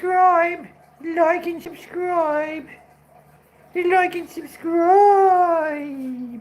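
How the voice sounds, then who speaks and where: A put-on character voice at an extremely high pitch moves at a very slow pace with long, frequent pauses. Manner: squawky bird voice.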